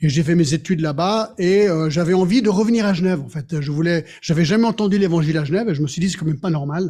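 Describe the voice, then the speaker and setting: This man's voice sits at a high pitch with ordinary pitch variation. Its tone is dark and mellow. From Geneva, Switzerland. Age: 60s. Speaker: pastor. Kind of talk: sermon.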